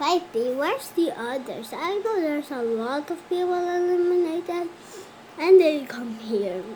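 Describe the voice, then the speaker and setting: A cartoonish character voice, high in pitch, speaks at a moderate pace over clear background noise. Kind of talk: animated cartoon character dialogue.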